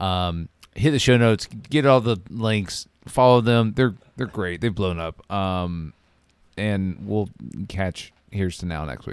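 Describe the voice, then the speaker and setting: A man talks in a normal speaking voice with ordinary pitch variation. His pace is fairly slow. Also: fairly low pitch for a man. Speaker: podcast host. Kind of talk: casual banter podcast. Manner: laughs often, talks over partner.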